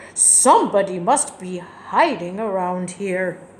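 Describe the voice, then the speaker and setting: A woman growls in a put-on character voice at medium pitch. Her pace is fairly slow, and her pitch varies in an ordinary way. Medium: read story.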